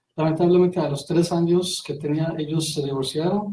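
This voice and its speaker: A man's fairly high-pitched voice with a dark, mellow tone, monotone, flat intonation and a non-native accent. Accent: foreign accent in Spanish. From Iran, Golestan province. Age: 30s. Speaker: interview guest. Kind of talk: radio interview. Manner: halting, many fillers.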